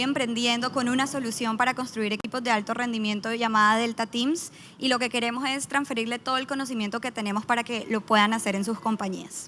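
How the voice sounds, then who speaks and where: A woman with a Colombian accent talks at a fairly quick pace in a high pitch, with fairly even intonation and hardly any pauses. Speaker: startup founder and team-building consultant. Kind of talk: conference panel talk. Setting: stage with audience.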